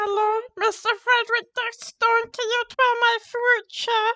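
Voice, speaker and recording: A put-on character voice, squeaky and extremely high-pitched, talks at a fairly slow pace in a monotone, flat intonation. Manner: evil, playful.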